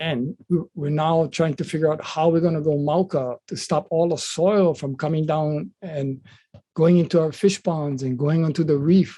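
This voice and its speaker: A man with a Hawaiian accent, a fairly high pitch and a dark, mellow tone, at a moderate pace with fairly even intonation. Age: 70s. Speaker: political candidate and activist. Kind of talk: interview. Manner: hesitant, many fillers.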